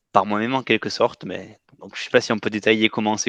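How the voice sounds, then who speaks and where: In a southwestern French accent, the speaker has a bright, sharp tone and monotone, flat intonation, with a dry, close sound with no echo and a quiet background. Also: man. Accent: southwest French. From southwest France. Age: 20s. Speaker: coaching client. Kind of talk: testimony interview. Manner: hesitant, many fillers.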